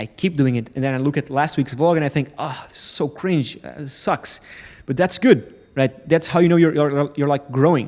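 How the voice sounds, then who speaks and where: A fairly high-pitched male voice with a Portuguese accent and ordinary pitch variation. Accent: Portuguese accent, non-native English. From Portugal. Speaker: entrepreneur vlogger. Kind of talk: motivational vlog talk to camera. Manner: fast; halting, stumbles over words.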